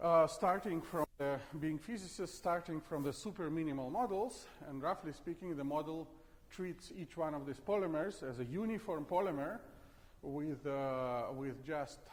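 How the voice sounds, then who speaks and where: A man talks at a moderate pace with a fairly high pitch and ordinary pitch variation. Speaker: physics professor. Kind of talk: lecture. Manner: halting, many fillers.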